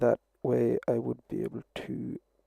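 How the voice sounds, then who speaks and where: Soft-spoken, a man comes through in a dry, close sound with no echo. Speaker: livestreamer crafting a puppet. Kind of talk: casual live-stream commentary while crafting. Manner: soft-spoken, talking quietly.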